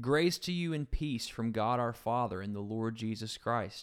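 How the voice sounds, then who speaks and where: A man with an ordinary speaking voice talks at a moderate pace and medium pitch in a very clean recording with a silent background. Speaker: pastor. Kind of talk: casual Bible study discussion.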